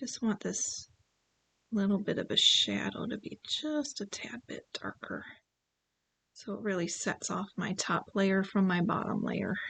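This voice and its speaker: A woman's medium-pitched, bright, sharp voice with vocal fry, ordinary pitch variation and a fairly slow pace. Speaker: painting instructor. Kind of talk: live-streamed painting tutorial. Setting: livestream. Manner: casual, chatty.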